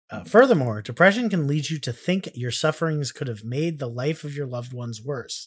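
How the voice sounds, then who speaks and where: Speaking with an American accent, a man uses a fairly high pitch, lively intonation and a somewhat breathy voice. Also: big swings in loudness. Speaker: podcast host. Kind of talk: casual chat, comedic banter. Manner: joking, rambling.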